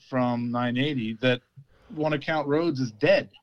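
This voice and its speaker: Heard dry and close with no echo, a man uses a normal speaking voice at medium pitch, with fairly even intonation and a fairly slow pace. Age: 50s. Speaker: football commentator. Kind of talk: casual chat.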